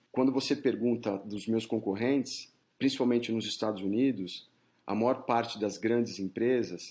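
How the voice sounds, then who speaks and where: Captured on a very clean recording with a silent background, this man has a dark, mellow tone, a medium pitch and fairly even intonation. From São Paulo, Brazil. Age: 40s. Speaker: headhunter. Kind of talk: interview.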